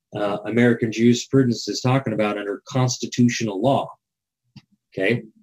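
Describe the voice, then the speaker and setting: In a plain, everyday voice, a man talks at a fairly quick pace with a medium pitch and fairly even intonation. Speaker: legal education show host. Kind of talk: live show monologue explaining historical documents. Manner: casual, with fillers and repetitions.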